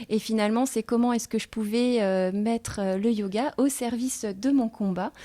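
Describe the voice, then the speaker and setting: A woman with a dark, mellow tone and fairly high pitch speaks at a moderate pace with hardly any pauses. Her loudness stays very even and her intonation fairly even, on a very clean recording with a silent background. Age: 40s. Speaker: yoga teacher. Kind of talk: interview. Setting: filmed in a coworking house. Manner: halting, many hesitations.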